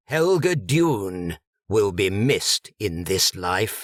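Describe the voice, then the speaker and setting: A man puts on a booming character voice, fairly low for a man, with a stern, pompous tone, very wide pitch swings and a very slow pace, recorded dry and close with no echo. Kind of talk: funeral sermon. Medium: read story. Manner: stern, pompous, disapproving.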